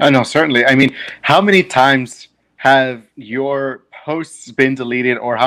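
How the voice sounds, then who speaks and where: The man speaks with a bright, sharp tone. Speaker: podcast host. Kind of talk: interview about politics. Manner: filler-heavy, hesitant.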